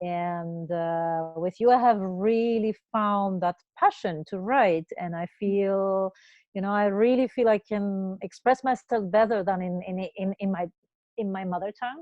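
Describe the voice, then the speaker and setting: Using ordinary pitch variation, a woman talks at a fairly slow pace in a medium pitch. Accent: non-native. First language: not English. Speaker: cross-cultural consultant. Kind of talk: interview.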